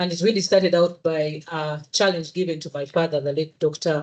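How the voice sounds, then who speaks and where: Speaking with a Ugandan accent, a woman talks at a fairly quick pace with a fairly low pitch and fairly even intonation. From Uganda, Central Region (Muganda). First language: Luganda. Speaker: engineer and social entrepreneur. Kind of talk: presentation at a public event. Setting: hybrid event with live audience.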